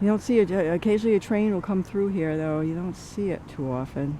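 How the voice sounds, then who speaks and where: A woman with a Rhode Island accent speaks at a moderate pace and a medium pitch. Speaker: walking tour narrator. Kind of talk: narrated walking tour. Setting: outdoors walking. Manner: casual, halting with fillers.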